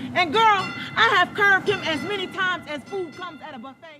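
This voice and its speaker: A woman's raised, projected voice at an extremely high pitch, in an American accent, at a fairly quick pace over background music. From Tampa, Florida. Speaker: slam poet. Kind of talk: spoken word poetry performance.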